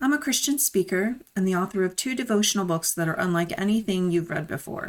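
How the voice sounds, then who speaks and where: An unremarkable speaking voice from a woman, medium pitch with ordinary pitch variation, on a very clean recording with a silent background. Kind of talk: scripted intro and outro.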